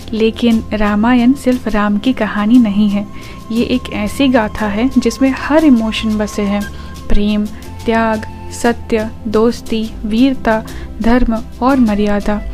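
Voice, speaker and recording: Over music in the background, a woman speaks at a fairly high pitch with monotone, flat intonation. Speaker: storyteller. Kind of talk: mythology storytelling podcast. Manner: reverent.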